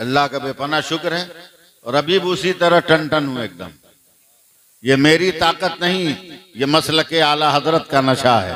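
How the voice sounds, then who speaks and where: A man talks in an unremarkable speaking voice, fairly high in pitch with ordinary pitch variation. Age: 60s. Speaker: Islamic preacher. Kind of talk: religious speech to a gathering. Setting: mosque gathering with audience.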